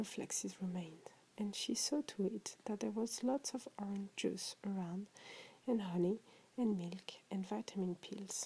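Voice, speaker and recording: With a French accent, a soft-spoken woman talks at a fairly slow pace in a somewhat breathy voice with a dark, mellow tone, a medium pitch and ordinary pitch variation. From France. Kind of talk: short story reading. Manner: relaxing, soft.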